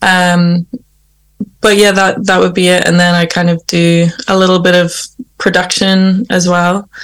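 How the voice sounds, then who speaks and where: With a Northern Irish accent, a woman speaks at a medium pitch and a fairly slow pace. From Northern Ireland. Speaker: singer-songwriter. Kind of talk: interview. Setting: remote call.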